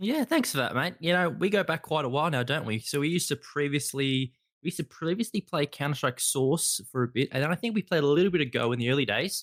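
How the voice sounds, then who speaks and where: Speech in an Australian accent comes at a very fast pace with hardly any pauses. The intonation is lively, the loudness very even, and the sound dry and close with no echo. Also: man, fairly high pitch for a man. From Australia, Melbourne. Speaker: podcast host. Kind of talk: interview.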